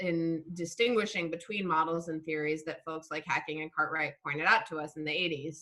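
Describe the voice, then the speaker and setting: Speaking with a normal speaking voice, a woman keeps a fairly low pitch and fairly even intonation. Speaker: philosophy of science lecturer. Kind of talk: lecture with Q&A discussion. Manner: casual, many fillers.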